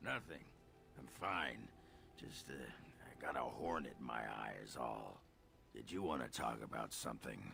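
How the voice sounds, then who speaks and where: A man's put-on character voice, raspy and very deep and low in pitch, at a moderate pace with long, frequent pauses over clear background noise. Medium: video game. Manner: gruff, crude.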